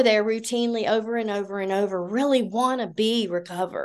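A moderate pace in a Southern US accent. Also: woman. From US South, Georgia. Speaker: nurse and cattle farmer, recovery speaker. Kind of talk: recovery meeting share. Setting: video call meeting.

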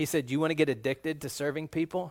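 Fairly quick, fairly high-pitched speech from a man. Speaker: pastor. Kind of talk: sermon. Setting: church. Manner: animated.

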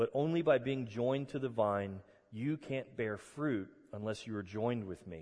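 A plain, everyday voice unfolds at a fairly slow pace, its pitch varying in an ordinary way. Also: man. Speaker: pastor. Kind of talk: sermon; guided meditation. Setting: church. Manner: calm, slow, soothing; warm, conversational.

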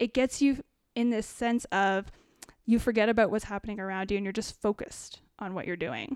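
An unremarkable speaking voice with a Canadian accent, fairly quick pace, and ordinary pitch variation, in a dry, close sound with no echo on a very clean recording with a silent background. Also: woman, fairly high pitch for a woman. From Ontario, Canada (small town near Kitchener-Waterloo). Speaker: potter, former graphic designer. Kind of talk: casual chat.

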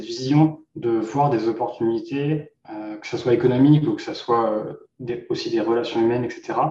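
With audible room echo, a man speaks fairly slowly at a medium pitch in a dark, mellow, somewhat breathy voice with fairly even intonation. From Normandy, France. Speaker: entrepreneur. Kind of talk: interview.

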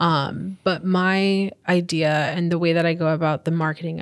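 With an American accent and a plain, everyday voice, a woman talks at a fairly slow pace in a fairly low pitch, her intonation fairly even, on a very clean recording with a silent background. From New York, Long Island. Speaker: community organizer. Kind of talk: interview.

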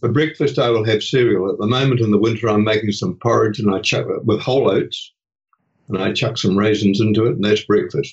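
With a New Zealand accent, a man speaks somewhat breathily with ordinary pitch variation. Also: fairly low pitch for a man, fairly quick pace. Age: 80s+. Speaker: retiree and hospice volunteer. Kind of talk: interview conversation.

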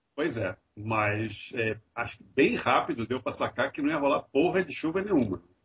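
Using an unremarkable speaking voice at medium pitch, a man talks at a moderate pace with lively intonation and hardly any pauses. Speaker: podcast co-host. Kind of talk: casual chat.

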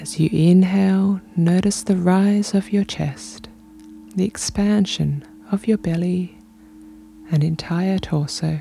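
Over music in the background, a voice with a soothing tone and lively intonation speaks at a very slow pace. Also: woman. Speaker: podcast host and meditation guide. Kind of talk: guided meditation. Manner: slow, soothing; calm, gentle, unhurried, with long pauses.

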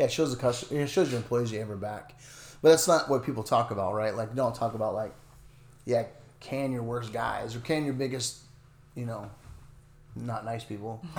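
An American man at medium pitch speaks at a fairly quick pace, somewhat breathy. His pitch variation is ordinary, and he takes long, frequent pauses. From Northern California, near Oregon border. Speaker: lawn care business owner. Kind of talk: casual interview.

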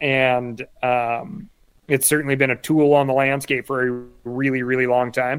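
Using a normal speaking voice, a man talks at a fairly slow pace with medium pitch and fairly even intonation. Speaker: conservationist and hunting podcaster. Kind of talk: casual interview chat.

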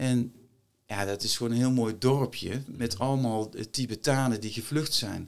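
A man's unremarkable speaking voice at a medium pitch, fairly slow in pace and fairly even in intonation. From Netherlands, North Brabant. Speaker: former marine officer, entrepreneur and author. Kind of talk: interview conversation. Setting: studio.

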